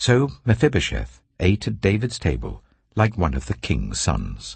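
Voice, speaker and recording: A man with a British accent and vocal fry, at a fairly slow pace. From England. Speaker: actor. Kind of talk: audiobook Bible reading. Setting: studio.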